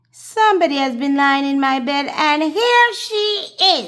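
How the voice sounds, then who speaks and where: Putting on a character voice, a woman speaks fairly slowly at a high pitch with very wide pitch swings. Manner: alarmed, crying out.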